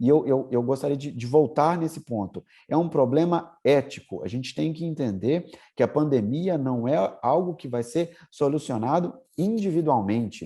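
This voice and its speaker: Against a quiet background, a man with a fairly high pitch and a dark, mellow tone talks at a moderate pace with lively intonation. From Brazil, Minas Gerais. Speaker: lawyer and law professor. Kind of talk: interview. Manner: hesitant, frequent fillers.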